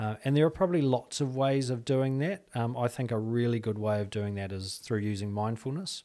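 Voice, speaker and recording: A man with a medium pitch and a dark, mellow tone speaks at a fairly quick pace with hardly any pauses and ordinary pitch variation, in a very clean recording with a silent background. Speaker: clinical psychologist. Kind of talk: casual interview.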